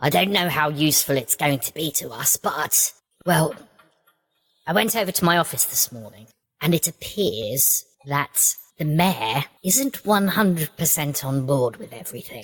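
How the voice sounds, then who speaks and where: A put-on character voice at a middle pitch, at a moderate pace. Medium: actual play. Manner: brisk, matter-of-fact.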